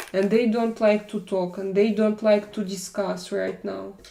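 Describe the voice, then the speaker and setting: A woman with a European accent at a medium pitch. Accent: European-sounding non-native English. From Russia. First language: not English. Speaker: live streamer. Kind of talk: casual live chat reading viewer comments. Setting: live stream. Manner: halting, with many fillers.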